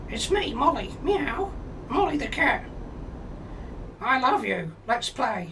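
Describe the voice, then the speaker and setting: Over clear background noise, a put-on character voice moves at a fairly slow pace with long, frequent pauses and very wide pitch swings. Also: female-sounding voice, high pitch for a woman. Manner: cutesy, playful.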